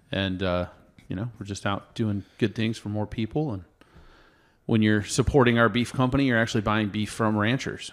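A man with an American accent speaks at a fairly quick pace in an unremarkable speaking voice, his pitch fairly low with ordinary variation. The recording is very clean, with a silent background. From Oregon, US. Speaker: beef company founder. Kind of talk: casual interview.

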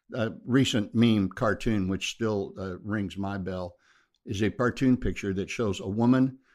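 In a very clean recording with a silent background, a man with an American accent talks at a moderate pace with fairly even intonation. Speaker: pastor. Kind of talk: interview conversation.

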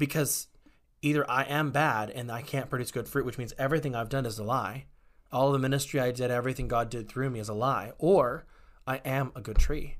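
A man speaks in a normal speaking voice with an American accent. His medium pitch holds fairly even intonation at a fairly quick pace. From Texas, Waco. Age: 30s. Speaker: former chaplain and actor. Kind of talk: interview conversation.

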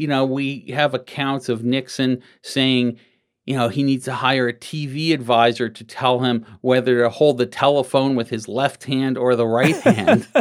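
A man speaks at a medium pitch and a moderate pace, with fairly even intonation and an ordinary speaking voice. The recording is very clean, with a silent background. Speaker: political historian. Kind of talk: interview.

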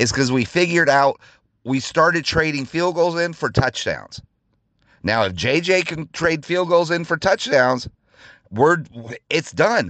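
Against a quiet background, a man with a fairly high pitch and vocal fry speaks at a fairly slow pace, leaving long, frequent pauses. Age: 40s. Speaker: sports podcast host. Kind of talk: casual solo rant. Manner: animated.

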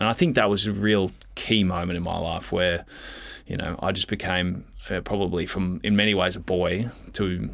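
Very deep and low in pitch, a man speaks with an Australian accent. His intonation is monotone and flat, at a moderate pace. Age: 20s. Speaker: retired footballer. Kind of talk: casual chat.

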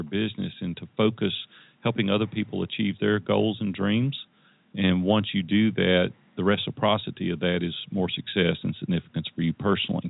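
In a Tennessee accent, a man talks at a fairly quick pace. His pitch is fairly low with ordinary variation. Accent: Southern US (Tennessee). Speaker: entrepreneur and life coach. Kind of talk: interview.

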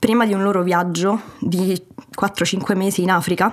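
A woman speaks at a fairly slow pace. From Italy and Germany. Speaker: guest, remote-working traveller. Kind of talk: interview, personal story.

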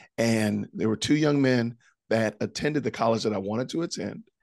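A man with an American accent speaks at a moderate pace in a plain, everyday voice, his pitch medium, against a quiet background. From Illinois, Chicago suburbs. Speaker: podcaster and former school teacher. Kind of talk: testimony interview.

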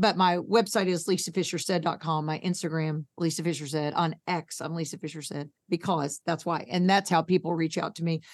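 With an American accent and a fairly low pitch, a woman speaks at a fairly quick pace with hardly any pauses. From New York. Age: 60s. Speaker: thyroid patient advocate. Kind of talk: casual interview chat. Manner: animated.

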